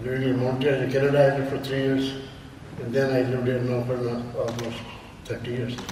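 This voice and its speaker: Talking very fast in a flat monotone, a man with a medium-pitched voice is heard over noticeable background noise and audible room echo. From India. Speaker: author. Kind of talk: interview.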